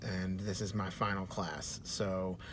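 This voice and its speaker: A man with an American accent talks in a room with audible echo. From Texas, Dallas. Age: 30s. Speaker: university student. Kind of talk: self-introduction video. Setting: in a car. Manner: many filler words, hesitant.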